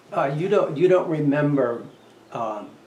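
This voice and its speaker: A man speaks at a very slow pace in a fairly high pitch, with lively intonation, noticeable background noise and audible room echo. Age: 70s. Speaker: historical society interviewer. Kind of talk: oral history interview.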